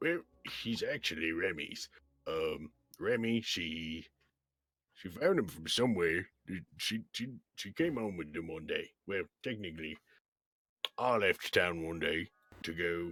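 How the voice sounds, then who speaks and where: A man's put-on character voice, raspy and very deep, at a fairly slow pace with long, frequent pauses and ordinary pitch variation. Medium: actual play. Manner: rambling, warm.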